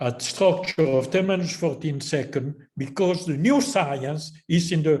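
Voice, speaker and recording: The voice is somewhat breathy, with an Italian accent. It moves at a very slow pace with ordinary pitch variation. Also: man. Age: 80s+. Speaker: professor. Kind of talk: closing remarks at a conference. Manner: halting.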